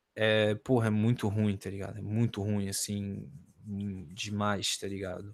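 With a fairly low pitch, this man talks at a fairly slow pace. His intonation is monotone and flat. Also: very clean recording, silent background. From Santa Catarina, Brazil. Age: 20s. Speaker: rapper. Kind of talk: casual interview.

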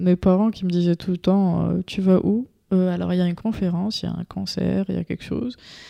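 A woman with a dark, mellow tone and medium pitch talks at a moderate pace, recorded dry and close with no echo over a quiet background. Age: 30s. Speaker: digital media entrepreneur. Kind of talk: interview.

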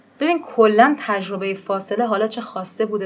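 Noticeable background noise runs behind a woman speaking at a medium pitch. She talks at a very fast pace. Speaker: podcast host. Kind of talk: casual chat.

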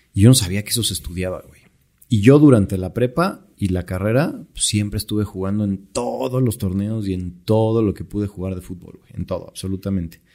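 Speaking at a moderate pace with a Mexican accent, a man has a fairly low, dark, mellow voice with ordinary pitch variation. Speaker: entrepreneur. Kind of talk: casual chat.

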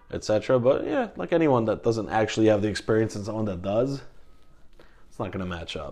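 A man with an American accent speaks at a very fast pace in a dark, mellow tone. His pitch is medium with ordinary variation, and his loudness swings widely. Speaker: podcast guest talking about therapy. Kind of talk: casual interview. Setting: recorded at home. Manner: halting, many fillers.

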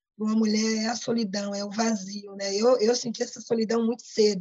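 Somewhat breathy, a woman speaks at a moderate pace in a monotone with flat intonation. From Brazil, Pernambuco (Paulista), raised in Rio de Janeiro. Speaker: community activist. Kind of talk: interview.

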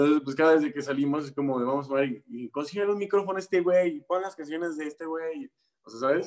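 With big swings in loudness and ordinary pitch variation, this man talks very fast at a fairly high pitch. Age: 20s. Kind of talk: interview. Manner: hesitant, many fillers.

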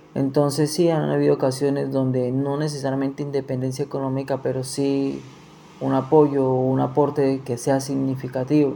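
A man talks at a moderate pace. His pitch is medium and his intonation is monotone and flat. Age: 20s. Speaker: interviewee, nursing student. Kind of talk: interview.

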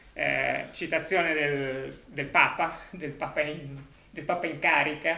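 Noticeable background noise sits behind a man whose intonation stays fairly even. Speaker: foundation representative introducing event. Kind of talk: welcome introduction.

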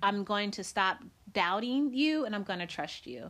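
With an American accent, a woman speaks in a plain, everyday voice at a medium pitch and moderate pace. The recording is very clean, with a silent background. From US Midwest, Decatur, Illinois. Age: 40s. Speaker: podcast host. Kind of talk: casual chat.

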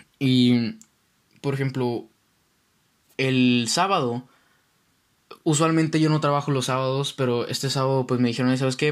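Speaking with a Mexican accent at a moderate pace, a man keeps very even loudness and ordinary pitch variation, with long, frequent pauses. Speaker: podcast host. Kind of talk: casual solo monologue. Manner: halting.

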